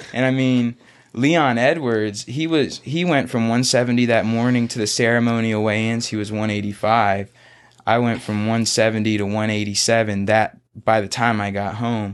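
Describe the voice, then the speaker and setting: A man with an American accent and an unremarkable speaking voice, medium in pitch, at a moderate pace with fairly even intonation against a quiet background. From US South, Florida Panhandle (Pace, Pensacola). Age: 20s. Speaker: MMA fighter. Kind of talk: casual chat. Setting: studio.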